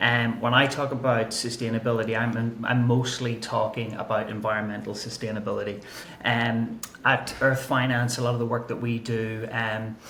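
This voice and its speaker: A man's medium-pitched voice in an Irish accent, monotone and flat at a moderate pace, with audible room echo and noticeable background noise. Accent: Irish accent, kept. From Ireland. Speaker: climate and nature strategy analyst. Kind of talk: podcast interview.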